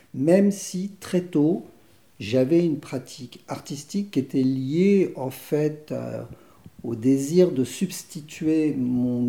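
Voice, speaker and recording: Ordinary pitch variation runs through the man's dark, mellow tone. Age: 60s. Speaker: theatre director. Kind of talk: interview. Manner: halting.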